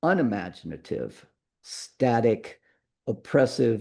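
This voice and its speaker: A man speaks at a very slow pace with vocal fry. His tone is dark and mellow. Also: very clean recording, silent background. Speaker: pastor leading a church book study. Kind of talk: lecture.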